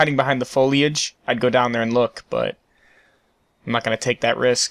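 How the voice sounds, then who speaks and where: The sound is dry and close, with no echo. Intonation stays monotone and flat. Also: man, medium pitch for a man. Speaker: gaming video creator. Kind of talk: gameplay commentary. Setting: at home late at night. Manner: slow-paced.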